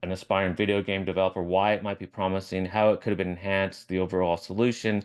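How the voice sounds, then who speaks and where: Against a quiet background, a man with a fairly low pitch talks at a fairly quick pace. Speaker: professor. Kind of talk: lecture; casual chat. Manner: fast.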